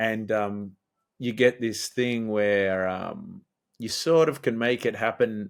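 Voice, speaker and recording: Speaking with an Australian accent, a man keeps fairly even intonation on a very clean recording with a silent background. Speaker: musician. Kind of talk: interview. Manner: casual, hesitant with fillers.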